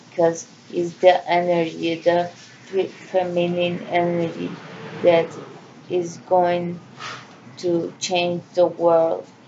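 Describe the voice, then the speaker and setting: Very slow, monotone delivery with flat intonation, long, frequent pauses, and noticeable background noise. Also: woman, fairly low pitch for a woman. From Central America. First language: Spanish. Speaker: vlogger. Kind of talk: personal monologue. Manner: halting.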